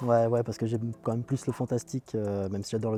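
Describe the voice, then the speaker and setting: A man with a medium-pitched voice talks at a very fast pace in a flat monotone, with music playing in the background. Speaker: radio presenter and film critic. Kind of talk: interview answer. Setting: outdoors.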